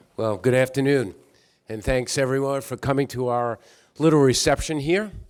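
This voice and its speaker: On a very clean recording with a silent background, a man with a medium pitch speaks at a fairly quick pace with fairly even intonation. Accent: New York. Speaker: company executive. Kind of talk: public remarks at reception. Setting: reception with audience.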